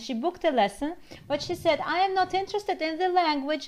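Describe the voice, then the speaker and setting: Lively intonation and a Russian accent come through noticeable background noise. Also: woman. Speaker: language teacher. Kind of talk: casual chat.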